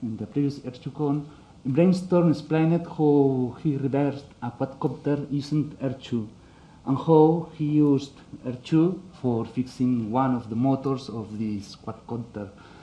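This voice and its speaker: Speaking at a fairly slow pace, a man has a fairly high pitch and a dark, mellow tone that is somewhat breathy. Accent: Spanish. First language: Spanish. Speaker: conference speaker. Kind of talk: technical talk. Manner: halting, many fillers.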